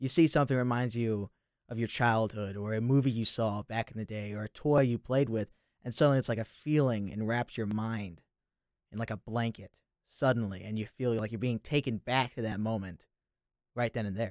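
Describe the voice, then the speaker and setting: Recorded very cleanly against a silent background, a man with an unremarkable speaking voice talks at a fairly quick pace in a medium pitch, his intonation fairly even, the sound dry and close with no echo. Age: young. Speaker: college student. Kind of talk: casual chat.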